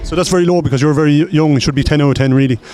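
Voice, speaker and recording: A man at a very fast pace, fairly high pitch with ordinary variation, with noticeable background noise. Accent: Irish. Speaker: street interviewer. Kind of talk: vox pop interview. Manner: halting.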